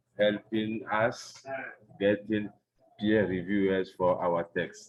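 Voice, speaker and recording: A man speaks very slowly with a Togolese accent. His fairly low voice is monotone and flat. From Togo, West Africa. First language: French. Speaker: NGO executive director. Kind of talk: online panel presentation.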